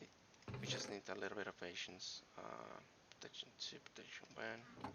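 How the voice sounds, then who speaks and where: This is a man speaking. He is soft-spoken. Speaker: gaming streamer. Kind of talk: live game streaming commentary. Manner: quiet, soft-spoken; halting, many fillers. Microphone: too quiet, viewers can't hear well.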